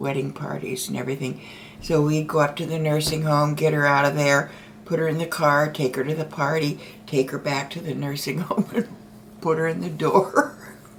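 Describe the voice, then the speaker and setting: A woman with a very deep, low pitch talks at a moderate pace and fairly even intonation, with noticeable background noise behind her. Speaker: storyteller being interviewed by her daughter. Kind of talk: interview answer, casual storytelling.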